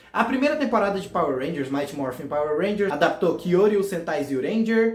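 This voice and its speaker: The pace is fairly quick, with a Goiás accent and lively intonation. Noticeable background noise can be heard. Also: man, high pitch for a man. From Goiás, Brazil. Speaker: fan series creator, youtuber. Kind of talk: casual explainer video.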